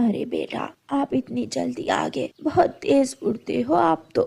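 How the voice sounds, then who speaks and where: A woman speaks in a raspy, put-on character voice. Her pace is fairly slow. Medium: cartoon. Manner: soft, affectionate.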